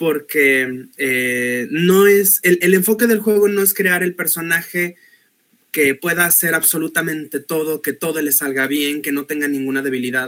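Using a normal speaking voice, a man talks at a fairly slow pace with a fairly high pitch and ordinary pitch variation. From Mexico, Guadalajara, Jalisco. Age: 30s. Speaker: chemical engineer and English teacher, tabletop RPG player. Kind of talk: panel discussion.

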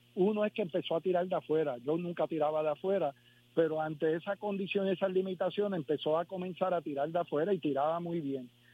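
This man has a high pitch and fairly even intonation. He speaks at a very fast pace. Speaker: former basketball player. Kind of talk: phone interview. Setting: phone call.

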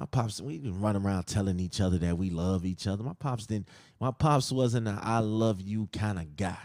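On a very clean recording with a silent background, a man with a fairly low pitch talks at a moderate pace with ordinary pitch variation. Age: 30s. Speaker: podcast host. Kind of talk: personal monologue.

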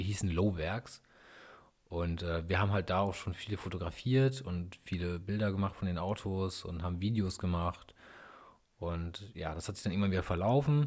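A man with a very deep, low pitch speaks at a moderate pace with ordinary pitch variation. The recording is very clean, the background silent. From northern Germany, East Frisia area. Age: 30s. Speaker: YouTuber and car mechanic hobbyist. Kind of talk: casual solo podcast monologue.

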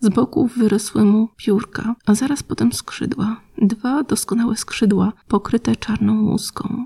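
The speech moves at a fairly slow pace with hardly any pauses. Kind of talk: horror story narration; reading aloud. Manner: slow, hushed, eerie storytelling with ominous pauses.

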